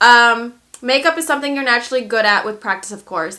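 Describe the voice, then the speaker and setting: A woman with a fairly high pitch and a bright, sharp tone talks at a moderate pace. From born in Lithuania, grew up in the United States. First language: Lithuanian. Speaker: makeup artist and beauty YouTuber. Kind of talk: casual vlog, reacting to viewer assumptions.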